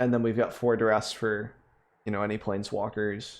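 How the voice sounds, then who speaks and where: This man has a fairly low voice. His intonation is monotone and flat. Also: very clean recording, silent background. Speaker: gaming content creator. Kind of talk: casual commentary. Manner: low energy.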